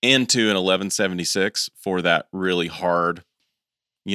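Speaking in an American accent at a moderate pace, a man has a very deep, low pitch and a bright, sharp tone, recorded very clean with a silent background and a dry, close sound with no echo. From US South, East Tennessee. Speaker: podcast host, live sound engineer. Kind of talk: casual chat.

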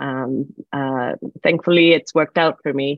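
A woman's very deep, low voice at a very slow pace. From Puerto Rico. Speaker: professor. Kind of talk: interview.

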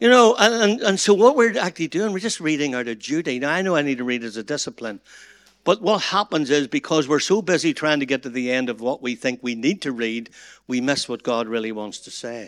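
In a Northern Irish accent, the speaker talks at a fairly quick pace with very wide pitch swings and big swings in loudness. The recording is very clean with a silent background and a dry, close sound with no echo. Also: man, fairly high pitch for a man. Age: 60s. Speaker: pastor. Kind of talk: seminar talk.

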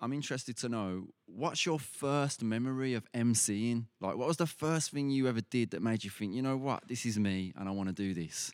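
A man has an unremarkable speaking voice at a medium pitch with ordinary pitch variation. He keeps a moderate pace with hardly any pauses on a very clean recording with a silent background. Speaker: podcast host. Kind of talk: interview conversation.

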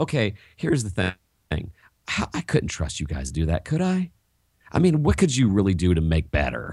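On a very clean recording with a silent background, a somewhat breathy man with a fairly low pitch talks at a moderate pace with very wide pitch swings. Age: 40s. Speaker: teacher and education author. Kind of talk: interview.

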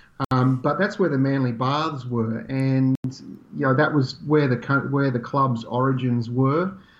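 A man with an Australian accent speaks fairly slowly at medium pitch, with ordinary pitch variation and very even loudness. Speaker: swim club representative. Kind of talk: interview.

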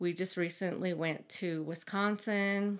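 A normal speaking voice from a woman with an American accent, fairly low in pitch and fairly even in intonation, on a very clean recording with a silent background. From Navajo Nation, northern Arizona. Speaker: Navajo graduate student and researcher. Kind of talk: interview conversation.

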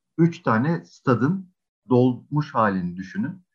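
A man is speaking. His pitch swings very widely. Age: 40s. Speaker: games and esports agency executive. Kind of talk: interview.

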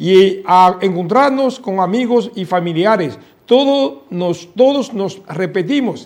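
With a Chinese accent and lively intonation, a man with a high pitch speaks at a very slow pace. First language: Chinese (speaking Spanish). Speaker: diplomat. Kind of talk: interview. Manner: halting.

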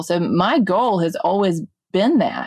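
With a Mississippi accent, a woman speaks at a fairly low pitch, the sound dry and close with no echo and the background quiet. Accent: Southern US (Mississippi). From US South, Mississippi (Jackson). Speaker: drug policy advocate, nonprofit founder. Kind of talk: interview conversation.

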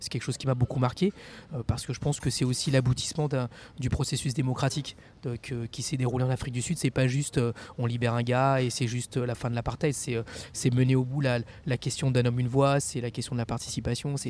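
Very fast and somewhat breathy, a man speaks at medium pitch with monotone, flat intonation. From Paris suburbs, France (Champigny-sur-Marne). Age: 40s. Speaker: politician. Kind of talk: interview. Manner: halting, frequent repetitions and fillers.

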